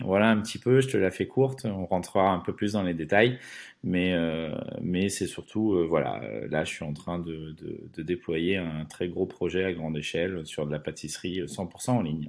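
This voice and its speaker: This man has a very deep, low voice. He talks at a moderate pace with lively intonation. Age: 40s. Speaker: entrepreneur, former pastry chef. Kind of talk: podcast interview. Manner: hesitant, many filler words.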